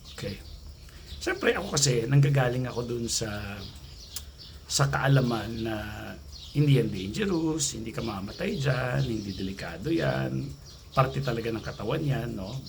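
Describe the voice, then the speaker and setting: Soft-spoken, a man at medium pitch swings very widely in pitch at a moderate pace. Long, frequent pauses break his speech amid audible room echo. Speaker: anxiety coach vlogger. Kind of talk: casual vlog talk. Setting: outdoors near gate by road.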